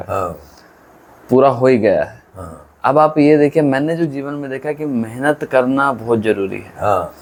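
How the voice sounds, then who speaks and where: A man speaks in a normal speaking voice, fairly high-pitched, with big swings in loudness and ordinary pitch variation. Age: 20s. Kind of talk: interviewer questions.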